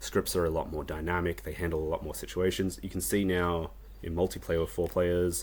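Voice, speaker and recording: In an Australian accent, the words come out fairly fast. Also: man, very deep, low pitch for a man, ordinary pitch variation. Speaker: indie game developer. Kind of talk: devlog tutorial. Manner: casual, frequent ums.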